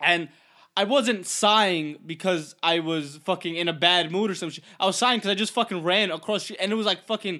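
With a raised, projected voice, a man speaks at a moderate pace in a high, bright, sharp tone with an animated delivery and ordinary pitch variation over a quiet background. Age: 20s. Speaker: podcast co-host. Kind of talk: casual chat.

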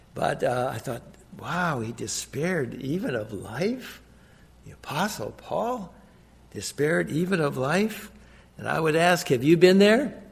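A man with an American accent, fairly high pitch, very wide pitch swings, vocal fry and a fairly slow pace. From US Midwest, Minnesota. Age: 70s. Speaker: guest preacher. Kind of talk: sermon. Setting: church.

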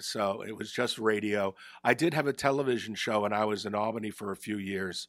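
Recorded very cleanly against a silent background, a man speaks with a New Jersey accent. His fairly low voice moves at a fairly quick pace with ordinary pitch variation. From northern New Jersey, Bergen County. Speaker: retired hockey broadcaster. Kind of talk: casual interview. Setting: studio.

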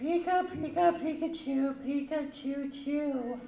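Shrill and high-pitched, this put-on character voice moves at a fairly slow pace.

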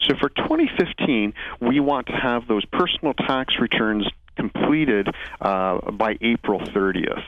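Speaking at a medium pitch and a fairly slow pace, the man keeps his loudness very even with ordinary pitch variation. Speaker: accountant guest. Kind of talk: radio interview. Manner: hesitant, wordy, formal.

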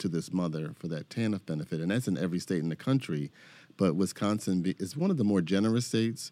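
Over a silent background in a very clean recording, a man speaks very fast with an American accent. His voice is very deep and low, with a dark, mellow tone. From Philadelphia, US Northeast. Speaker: social work professor. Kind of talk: casual conversation. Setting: studio.

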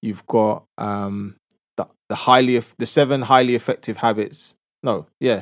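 With a London accent, a man of medium pitch talks at a moderate pace and with fairly even intonation on a very clean recording with a silent background. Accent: London English, multicultural London. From North London. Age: 30s. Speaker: social entrepreneur and youth ambassador. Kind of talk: casual interview chat.

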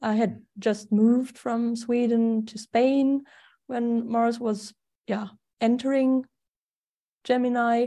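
A woman with a fairly high pitch speaks at a very slow pace, with long, frequent pauses. Her intonation is monotone and flat, and her tone is dark and mellow. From Germany. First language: German. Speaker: astrologer. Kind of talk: casual chat.

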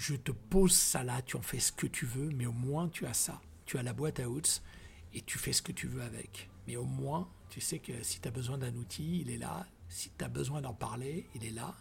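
A man at medium pitch talks with vocal fry. His intonation is lively and his pace moderate. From Ivory Coast. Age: 50s. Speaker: former radio host and DJ. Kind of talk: interview.

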